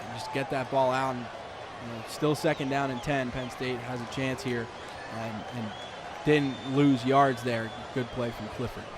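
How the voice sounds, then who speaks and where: Crowd noise fills the background. Over it, a man talks with fairly even intonation. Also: medium pitch for a man, fairly slow pace. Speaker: color analyst for a football broadcast. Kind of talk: live sports broadcast analysis.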